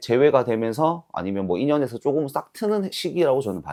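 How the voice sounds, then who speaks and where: Over a quiet background, a man talks at a moderate pace in a dark, mellow tone with very wide pitch swings. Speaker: fortune teller. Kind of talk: fortune-telling consultation. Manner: formal, explanatory.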